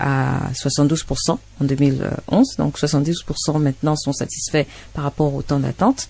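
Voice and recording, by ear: With vocal fry and a dark, mellow tone, a woman speaks low-pitched with fairly even intonation.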